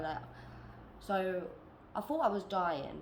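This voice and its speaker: A woman speaks with a British accent at a medium pitch. Her moderate pace is heard with audible room echo. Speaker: vlogger. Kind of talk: personal testimony vlog. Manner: laid-back.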